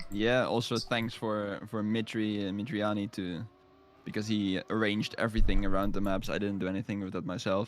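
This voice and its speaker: A man at a fairly quick pace, fairly low in pitch, with monotone, flat intonation. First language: not English. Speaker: esports commentator. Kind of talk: live commentary.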